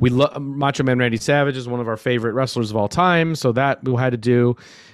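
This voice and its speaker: A medium-pitched man with an American accent on a very clean recording with a silent background. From US Midwest, Minneapolis, Minnesota. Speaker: documentary filmmaker. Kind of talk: interview. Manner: casual, many fillers.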